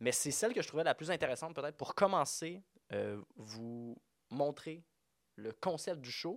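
A man with a fairly high pitch speaks at a moderate pace, using lively intonation and big swings in loudness. Long, frequent pauses break up his speech on a very clean recording with a silent background. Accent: Quebec. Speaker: podcast host. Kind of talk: casual chat.

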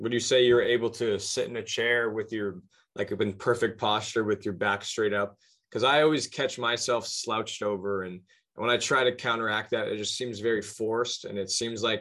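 A man talks at a moderate pace and a medium pitch with fairly even intonation, a plain, everyday voice. The background is quiet. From Halifax, Nova Scotia, Canada. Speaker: podcast host. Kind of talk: casual interview conversation.

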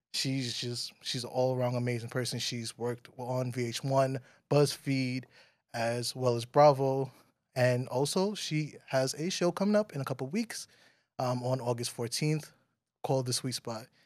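A man with an American accent talks at a fairly slow pace and a medium pitch. He has an unremarkable speaking voice with ordinary pitch variation. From New York, Bronx. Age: 30s. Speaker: podcast host. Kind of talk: casual chat.

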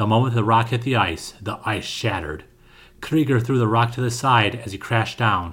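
Plain reading aloud. The intonation stays fairly even.

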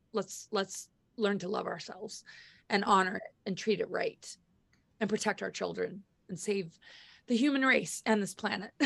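A woman's bright, sharp tone with vocal fry and ordinary pitch variation. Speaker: spiritual speaker. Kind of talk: casual chat. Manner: animated; halting.

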